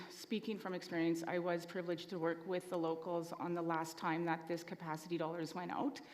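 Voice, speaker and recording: A soft-spoken woman talks at a moderate pace. Her pitch is fairly low. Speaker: assembly delegate. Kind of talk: formal meeting debate.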